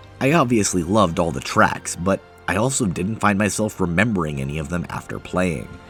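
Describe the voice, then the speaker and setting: Music plays behind a man. His pitch swings very widely. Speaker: video game reviewer. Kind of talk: video essay narration.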